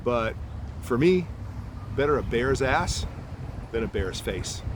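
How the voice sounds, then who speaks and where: Medium pitch from a man, ordinary rise and fall, and echo from the room clearly present. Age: 60s. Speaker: cycling podcast host. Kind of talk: casual monologue. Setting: outdoors in a park.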